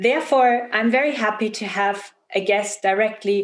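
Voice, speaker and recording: A woman in a German accent speaks at a fairly high pitch with fairly even intonation. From Germany. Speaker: event host. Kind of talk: interview.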